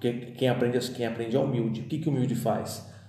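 Amid noticeable background noise and audible room echo, a man speaks at a medium pitch. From Brazil, São Paulo. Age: 30s. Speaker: pastor. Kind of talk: podcast interview, testimony and teaching.

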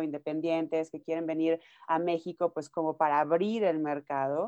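Speaking with a Mexican accent, a woman uses a fairly low pitch and a dark, mellow tone at a fairly slow pace against a quiet background. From Mexico, Nayarit. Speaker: music manager and publicist. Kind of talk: interview.

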